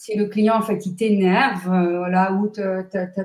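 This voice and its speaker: A woman's somewhat breathy voice sits at medium pitch with a dark, mellow tone. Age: 60s. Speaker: numerologist and therapist. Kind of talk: interview. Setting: live stream. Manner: energetic.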